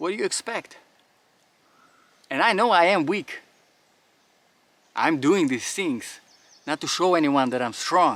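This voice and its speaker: A man with a non-native accent and a high pitch speaks in an animated tone with lively intonation. His pace is fairly slow, with long, frequent pauses. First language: not English. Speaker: firearms and faith YouTuber. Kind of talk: outdoor monologue during drill. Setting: outdoors.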